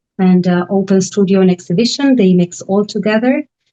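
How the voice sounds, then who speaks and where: With an Argentine accent, a woman speaks in a medium pitch with a dark, mellow tone and fairly even intonation. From Argentina, Buenos Aires. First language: Spanish. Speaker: artist residency director. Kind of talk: online panel presentation. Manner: halting, many fillers.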